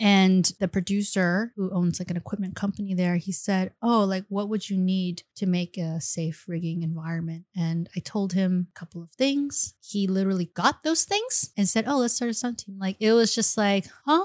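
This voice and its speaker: A woman with an ordinary speaking voice talks at medium pitch and a moderate pace, with ordinary pitch variation and hardly any pauses. The sound is dry and close with no echo. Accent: General American. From US South, Virginia. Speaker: martial arts actor and stunt performer. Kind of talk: casual chat. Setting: studio.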